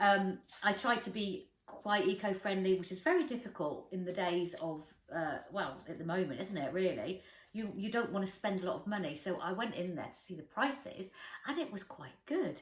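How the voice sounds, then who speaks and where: With an English accent, a woman speaks at medium pitch and a moderate pace, her intonation lively. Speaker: lifestyle vlogger. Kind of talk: casual chat.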